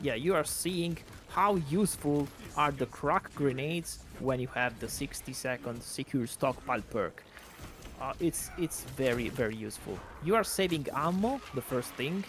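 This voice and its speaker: A man's fairly high voice with lively intonation at a moderate pace, amid noticeable background noise. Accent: Italian. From Italy. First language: Italian. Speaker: gaming video creator. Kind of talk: gameplay commentary. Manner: casual, hesitant with fillers.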